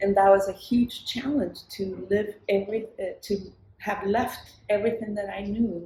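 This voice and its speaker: Spoken at a moderate pace with a Spanish accent, the voice is monotone and flat, with long, frequent pauses. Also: woman, medium pitch for a woman. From southern Chile. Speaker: singer-songwriter. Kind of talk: interview conversation. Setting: live recording in New York City with street sounds.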